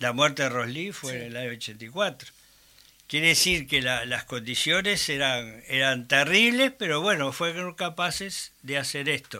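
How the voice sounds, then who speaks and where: A man with a Uruguayan accent, a fairly high pitch, a bright, sharp tone, lively intonation and a fairly slow pace. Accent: Rioplatense Spanish (Uruguayan). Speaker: human rights activist. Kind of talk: interview. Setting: studio.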